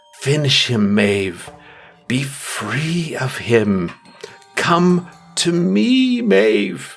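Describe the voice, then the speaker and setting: A put-on character voice moves at a very slow pace with a low-to-middle pitch. Faint music plays in the background. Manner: sinister, coaxing, commanding.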